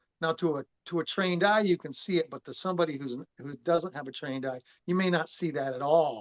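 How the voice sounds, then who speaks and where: With an American accent, a man speaks at a fairly quick pace with ordinary pitch variation, in a dry, close sound with no echo. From Massachusetts. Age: 50s. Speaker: fitness trainer and former drummer. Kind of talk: interview conversation. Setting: video call. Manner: casual with many hesitations.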